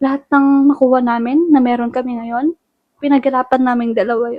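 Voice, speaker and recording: A woman with a high pitch talks at a fairly quick pace in a monotone, flat intonation. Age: young. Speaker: vlogger. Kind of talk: casual chat. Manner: talkative.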